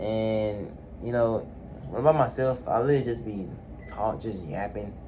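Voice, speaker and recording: The man's speech shows ordinary pitch variation, with audible echo from the room. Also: moderate pace. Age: 20s. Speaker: vlogger. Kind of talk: personal vlog monologue. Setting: alone in his room. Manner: halting; loud when alone.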